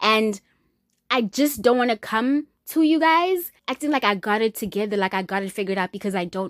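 In a very clean recording with a silent background and a dry, close sound with no echo, a woman with a fairly high pitch speaks at a fairly quick pace in an animated tone with lively intonation. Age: 20s. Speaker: podcast host. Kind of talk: personal podcast monologue. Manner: casual, animated, candid.

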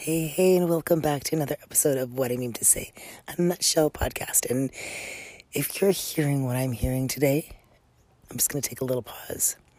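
A quiet woman with a very deep, low pitch and a dark, mellow tone speaks at a fairly quick pace with ordinary pitch variation and long, frequent pauses. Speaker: podcast host. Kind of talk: casual podcast monologue. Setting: outdoors on a deck.

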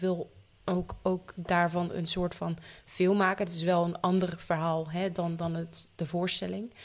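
A woman speaks in a fairly low voice. Her intonation is monotone and flat. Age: 20s. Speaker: actor and theatre maker. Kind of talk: casual chat.

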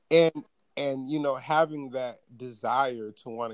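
A man with an American accent talks at a fairly slow pace in a normal speaking voice. His pitch variation is ordinary. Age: 20s. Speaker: podcaster. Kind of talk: casual chat.

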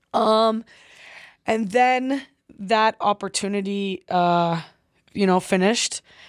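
Fairly slow delivery with long, frequent pauses, very even loudness and ordinary pitch variation, in a very clean, dry, close recording with a silent background and no echo. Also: woman, medium pitch for a woman. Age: 20s. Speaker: professional footballer. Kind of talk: casual interview.

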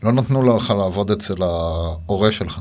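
A man speaks very slowly, and audible room echo hangs around his words. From Israel, Gaza border kibbutz. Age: 40s. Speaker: avocado farmer. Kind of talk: interview. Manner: halting.

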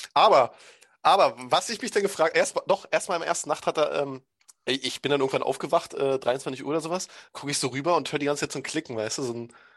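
A man talks at a very fast clip with a fairly high pitch. The background is quiet. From Brandenburg, Germany. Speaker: podcast host. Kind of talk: casual chat.

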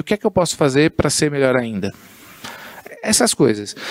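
This man talks at a fairly quick pace with a fairly high pitch. The sound is dry and close with no echo, though background noise is noticeable. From Guarulhos, São Paulo state, Brazil. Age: 40s. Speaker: entrepreneur and communicator. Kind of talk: casual interview chat.

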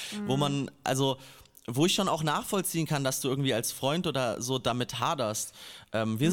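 A man with an unremarkable speaking voice talks at a fairly quick pace. His pitch is fairly high and his intonation lively. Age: 20s. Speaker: rapper. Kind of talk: casual chat.

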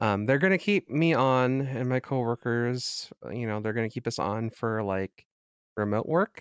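A man at medium pitch and moderate pace, with ordinary pitch variation, dry and close with no echo, on a very clean recording against a silent background. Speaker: podcast co-host. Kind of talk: casual chat.

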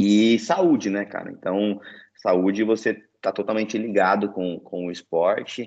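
Against a quiet background, a man with a fairly low pitch speaks at a fairly slow pace with ordinary pitch variation. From Brazil, interior of São Paulo state. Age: 20s. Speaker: Olympic canoeist. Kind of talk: casual interview.

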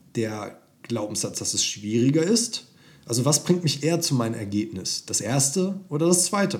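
A somewhat breathy man's voice, fairly high in pitch, with very wide pitch swings at a moderate pace. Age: 20s. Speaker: dating coach. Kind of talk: podcast monologue.

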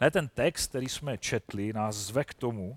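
Recorded dry and close with no echo, a man talks at a fairly slow pace in a medium-pitched voice. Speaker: lay preacher. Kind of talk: sermon.

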